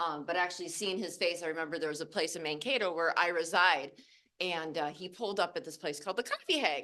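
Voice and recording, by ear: A woman's loud, fast voice, fairly low in pitch, with a bright, sharp tone and ordinary pitch variation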